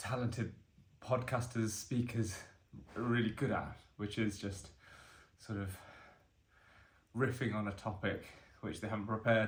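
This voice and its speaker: A man talks at a moderate pace, monotone and somewhat breathy. He leaves long, frequent pauses, and room echo is audible. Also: medium pitch for a man. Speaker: vlogger doing fitness challenge. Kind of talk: casual self-recorded vlog monologue. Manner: hesitant, with fillers; slight stammer on words.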